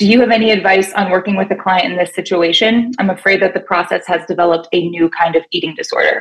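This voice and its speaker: In an American accent, a woman talks at a very fast pace with hardly any pauses. Her intonation stays fairly even over a quiet background. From Pennsylvania. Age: 30s. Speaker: fitness coach. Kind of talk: call-in question. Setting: phone call. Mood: earnest, a bit unsure. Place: home room. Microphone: video call.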